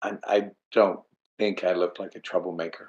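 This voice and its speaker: A man's very deep, low voice at a moderate pace, monotone and flat in intonation. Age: 60s. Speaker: traveler sharing trip experience. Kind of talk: casual chat. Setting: video call. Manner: halting.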